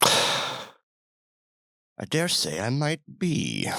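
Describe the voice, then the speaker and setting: A man puts on a character voice, pitched fairly high. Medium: actual play.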